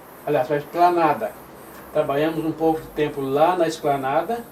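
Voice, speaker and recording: This man talks at a moderate pace with a fairly high pitch and fairly even intonation. His loudness swings widely, and background noise is noticeable. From southern Brazil, Santa Catarina (Criciúma region). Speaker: retired pastor, church pioneer. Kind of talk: oral history interview. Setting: at his home.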